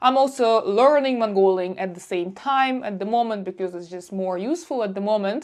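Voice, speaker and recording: A woman with a Russian accent, fairly high pitch and lively intonation, at a moderate pace against a quiet background. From Russia, Republic of Buryatia. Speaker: travel vlogger. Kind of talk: casual monologue to camera. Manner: animated.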